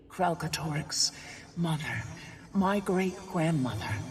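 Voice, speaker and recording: A put-on character voice sits at a middle pitch and moves at a fairly slow pace. Background noise is clearly audible. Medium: video game.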